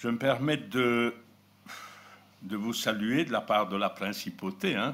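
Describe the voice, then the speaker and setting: Very slowly, a man talks at a medium pitch. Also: ordinary pitch variation. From Belgium, Borinage (Hainaut). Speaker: preacher. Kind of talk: sermon.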